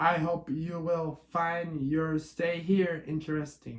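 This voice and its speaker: In a put-on character voice, a man growls at a fairly high pitch, keeping a monotone, flat intonation at a fairly slow pace. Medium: read story. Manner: gruff.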